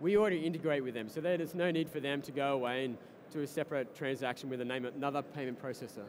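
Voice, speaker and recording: Over noticeable background noise, a man with an Australian accent speaks at a very fast pace with ordinary pitch variation. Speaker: startup co-founder and tech executive. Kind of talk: interview at a tech conference. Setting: live broadcast at a conference floor. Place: hall. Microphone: headset.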